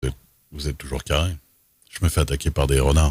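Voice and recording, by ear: Talking at a fast pace, a man with an extremely low pitch shows a slightly husky edge, a slightly mellow tone and little pitch movement.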